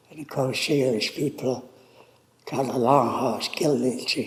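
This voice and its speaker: Moderately paced male speech at a medium pitch, fairly even in intonation, over noticeable background noise. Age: old. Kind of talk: interview answer, personal life story.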